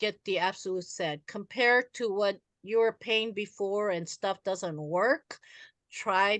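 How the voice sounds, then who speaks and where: A woman with an ordinary speaking voice, medium pitch and ordinary pitch variation at a fairly slow pace, in a dry, close sound with no echo and a quiet background. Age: 60s. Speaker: network marketing speaker. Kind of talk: motivational talk with Q&A. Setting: video call.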